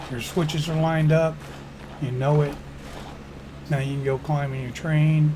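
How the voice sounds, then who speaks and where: A man's fairly high-pitched voice at a moderate pace, with noticeable background noise and audible room echo. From Chicago area, US Midwest. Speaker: gaming YouTuber, former railroad worker. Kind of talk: game tutorial. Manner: casual, folksy.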